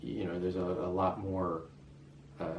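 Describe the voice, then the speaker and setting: A man with a very deep, low pitch and an American accent speaks amid noticeable background noise and audible room echo. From US West, Las Vegas. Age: 50s. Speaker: expat interviewee. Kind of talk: interview. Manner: hesitant, many fillers.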